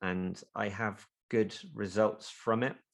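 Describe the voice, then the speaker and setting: A man with a British accent and fairly even intonation, on a very clean recording with a silent background. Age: 30s. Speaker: physician's associate, ex-marine. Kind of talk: casual interview.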